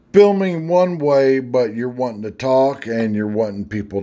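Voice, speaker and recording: A man whose pitch swings very widely as he speaks. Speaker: product reviewer. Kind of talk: product review tutorial. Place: home room.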